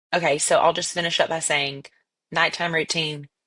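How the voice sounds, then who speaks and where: Against a quiet background, a woman talks loudly at a moderate pace in a bright, sharp, very deep and low voice with monotone, flat intonation. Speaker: podcast co-host. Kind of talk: casual chat.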